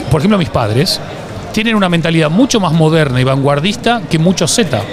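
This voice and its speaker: Over music in the background, a man with an Argentine accent speaks at a fairly high pitch with very wide pitch swings, very even loudness, and audible room echo. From Argentina. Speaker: branding expert and author. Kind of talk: interview.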